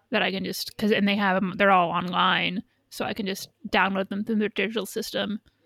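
A woman with a normal speaking voice and an American accent talks at a moderate pace and medium pitch with fairly even intonation, in a very clean recording with a silent background and a dry, close sound with no echo. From United States. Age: 30s. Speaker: podcaster. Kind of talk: casual chat.

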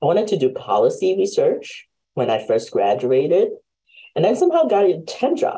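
A woman speaks at a moderate pace with very even loudness. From immigrant to the US. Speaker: podcast host. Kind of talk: interview.

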